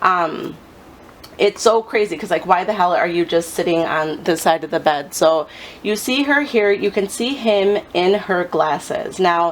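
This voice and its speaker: A woman talks at a fairly slow pace with lively intonation. Noticeable background noise runs under her voice. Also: medium pitch for a woman. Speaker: psychic reader. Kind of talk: psychic reading video monologue. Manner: hesitant with many um fillers.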